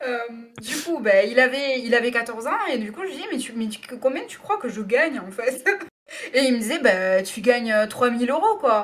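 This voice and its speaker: Against noticeable background noise, a woman with a high pitch speaks at a moderate pace, her loudness swinging widely. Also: lively intonation. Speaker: radio presenter. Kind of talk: interview answer.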